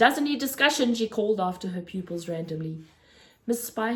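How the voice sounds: This is a natural reading voice. The intonation is lively.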